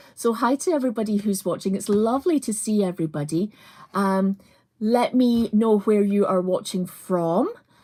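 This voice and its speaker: A woman with a Scottish accent talks at a fairly slow pace in a dark, mellow tone. The recording is very clean, with a silent background. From Scotland, Edinburgh. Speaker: crafts presenter. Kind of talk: live craft tutorial. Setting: livestream. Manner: casual, many fillers.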